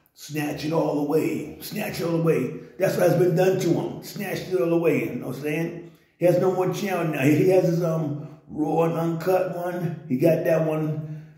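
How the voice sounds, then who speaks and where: Flat, monotone intonation at a moderate pace, with audible room echo. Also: man, high pitch for a man. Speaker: online commentator. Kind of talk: commentary. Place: home room. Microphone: phone near.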